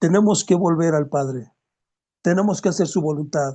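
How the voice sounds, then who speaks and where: Moderate pace against a quiet background. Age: 60s. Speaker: Bible teacher. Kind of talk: Bible study sermon. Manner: exhortative.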